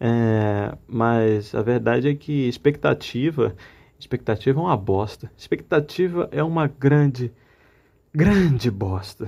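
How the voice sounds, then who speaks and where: Over a quiet background, a man speaks at a very slow pace with a medium pitch. His tone is dark and mellow, and his intonation is lively. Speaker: amateur artist vlogger. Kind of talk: personal vent monologue.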